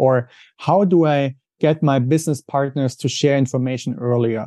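In a dry, close sound with no echo and a quiet background, a man with a German accent speaks at a moderate pace, his fairly high-pitched voice dark and mellow in tone with fairly even intonation. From Germany. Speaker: finance trainer and company founder. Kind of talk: interview.

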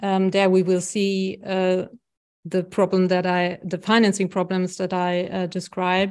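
A woman with a German accent speaks at a medium pitch and a fairly slow pace in a flat monotone. The background is quiet. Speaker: health economics professor. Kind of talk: interview.

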